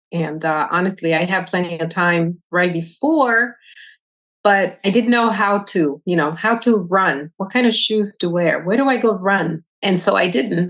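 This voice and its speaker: A woman's fairly slow speech in a Spanish accent. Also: medium pitch for a woman, ordinary pitch variation. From Dominican Republic. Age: 50s. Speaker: retired army veteran. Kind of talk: interview.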